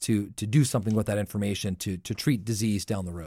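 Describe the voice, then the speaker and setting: A normal speaking voice comes from a man with an American accent and ordinary pitch variation. He talks at a fairly quick pace on a very clean recording with a silent background. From US Southwest (southern New Mexico). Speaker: analytics industry director, former government official. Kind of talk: radio interview.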